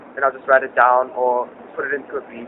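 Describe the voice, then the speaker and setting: With noticeable background noise behind him, a man talks at a very fast pace and a medium pitch. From South Africa, Johannesburg. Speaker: hip-hop artist. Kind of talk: interview. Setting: cafe. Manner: casual, hesitant with fillers.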